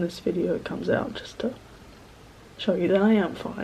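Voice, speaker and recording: A woman mumbles at a moderate pace. Her intonation is fairly even. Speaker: student. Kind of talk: casual talk to camera. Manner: hesitant, mumbled.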